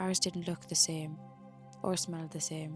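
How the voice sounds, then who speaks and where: A soft-spoken woman with an Irish accent talks in a soothing tone, with music in the background. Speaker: sleep story narrator. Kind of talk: sleep story. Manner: soft-spoken, slow, soothing.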